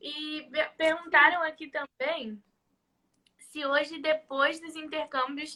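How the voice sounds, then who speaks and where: With a Rio de Janeiro accent, a woman talks at a very slow pace in a high pitch and a bright, sharp tone. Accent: carioca. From Rio de Janeiro, Brazil. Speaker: live stream host. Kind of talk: casual chat. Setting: live stream.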